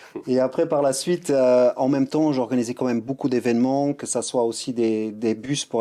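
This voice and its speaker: His intonation is fairly even. The man's pitch is medium. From Luxembourg. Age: 40s. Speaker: streetwear brand founder and former breakdancer. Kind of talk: podcast interview. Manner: hesitant, many fillers and restarts.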